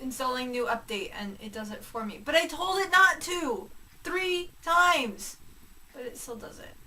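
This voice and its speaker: A woman's raised, projected voice, high-pitched with very wide pitch swings, at a fairly slow pace amid audible room echo. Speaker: vlogger. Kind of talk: casual vlog monologue.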